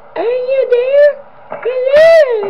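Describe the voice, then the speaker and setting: Squeaky and extremely high in pitch, this is a put-on character voice. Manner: creepy.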